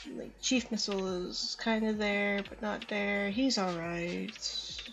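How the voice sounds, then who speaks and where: A woman talks at a very slow pace in a medium pitch. Music plays in the background. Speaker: gamer doing a playthrough voiceover. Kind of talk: casual game commentary. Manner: hesitant, stammering.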